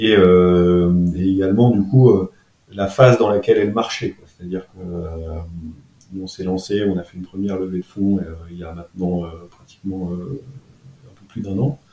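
The voice has a dark, mellow tone and fairly even intonation, with big swings in loudness. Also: man, very deep, low pitch for a man, fairly slow pace. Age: 40s. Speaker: entrepreneur. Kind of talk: interview. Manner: halting, many fillers and repetitions.

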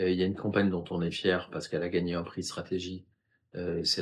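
A man's very deep, low voice at a fairly quick pace over a quiet background. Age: 50s. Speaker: communication agency founder. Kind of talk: interview. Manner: hesitant, many filler sounds.

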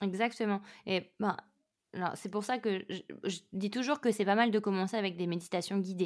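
A woman with a normal speaking voice, medium pitch and fairly even intonation at a moderate pace on a very clean recording with a silent background. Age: 30s. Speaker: meditation teacher and yoga instructor. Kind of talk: casual interview.

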